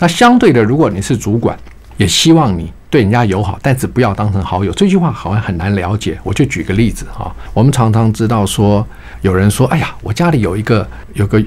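Speaking at a very fast pace with a fairly low pitch, a man is heard over noticeable background noise. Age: 60s. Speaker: retired bank executive, author. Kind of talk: radio interview. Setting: radio studio.

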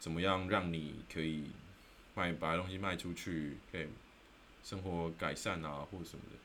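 Over audible room echo, a bright, sharp voice moves at a moderate pace with long, frequent pauses. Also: man, very deep, low pitch for a man. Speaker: podcast host. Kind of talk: solo explainer talk. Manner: casual, many filler words.

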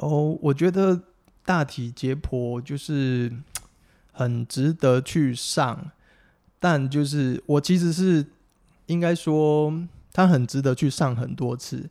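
A man with a Taiwanese accent speaks at a very slow pace and fairly high pitch, with long, frequent pauses and ordinary pitch variation. His dark, mellow tone comes through on a very clean recording with a silent background. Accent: Taiwanese Mandarin. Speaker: physical therapist. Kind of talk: casual interview.

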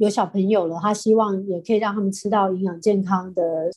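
A woman with a Taiwanese accent talks at medium pitch with monotone, flat intonation. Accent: Taiwanese Mandarin. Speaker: real estate company chairwoman. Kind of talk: interview.

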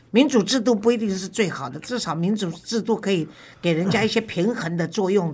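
A woman at medium pitch with ordinary pitch variation and a fairly quick pace. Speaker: talk show host. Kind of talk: interview.

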